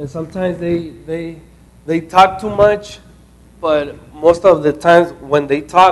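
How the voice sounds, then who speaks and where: A man with a non-native accent and a high voice speaks fairly slowly, in a fairly even tone. Noticeable background noise can be heard. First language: not English. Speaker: intern presenting at a training session. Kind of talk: group talk at a training session. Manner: halting, many fillers and restarts.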